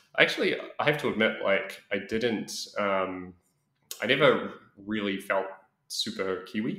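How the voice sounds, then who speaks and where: A man speaks in a New Zealand accent. Audible room echo is present. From New Zealand, Auckland. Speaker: expat interviewee. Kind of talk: interview. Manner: halting, many fillers.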